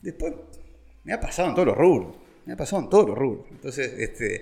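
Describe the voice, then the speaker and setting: A man talking at a very fast pace, with very wide pitch swings. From Uruguay, Montevideo. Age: 50s. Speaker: vine grower. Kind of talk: casual interview. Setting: at the guest's home. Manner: halting, with many fillers and repetitions.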